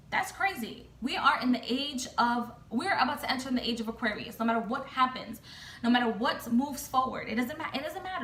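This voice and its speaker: With an American accent and an animated tone, a woman speaks at a moderate pace and high pitch with ordinary pitch variation, amid noticeable background noise and audible room echo. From United States. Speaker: tarot reader and vlogger. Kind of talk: casual rant vlog. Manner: halting with repetitions.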